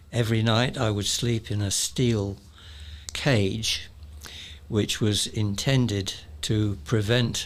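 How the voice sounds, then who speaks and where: Speaking very slowly with long, frequent pauses, a man with a southern English accent uses a fairly low pitch and ordinary pitch variation, and the room echo is audible. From London suburbs, England. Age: 80s+. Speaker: retired electronics engineer. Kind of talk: interview storytelling.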